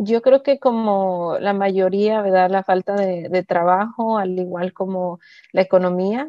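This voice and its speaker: Very slowly, a woman talks, her intonation staying fairly even. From Pacific Northwest US, raised from age 4-5. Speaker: community worker. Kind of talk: interview. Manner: hesitant.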